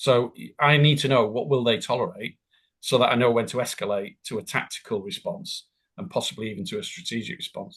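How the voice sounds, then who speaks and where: In an ordinary speaking voice, a man talks at a fairly quick pace with medium pitch and lively intonation. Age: 60s. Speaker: business continuity consultant and tutor. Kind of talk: interview.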